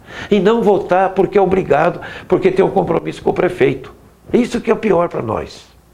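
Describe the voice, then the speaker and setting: Noticeable background noise sits behind a man speaking at a fairly quick pace. His pitch is high, with ordinary pitch variation. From Brazil, Osasco (São Paulo). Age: 70s. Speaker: city councillor. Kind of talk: interview.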